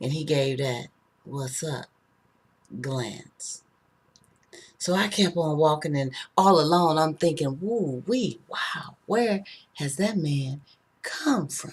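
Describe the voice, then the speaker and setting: A woman's very deep, low voice, somewhat breathy, with lively intonation at a very slow pace and long, frequent pauses. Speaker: spoken word artist. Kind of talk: spoken word performance.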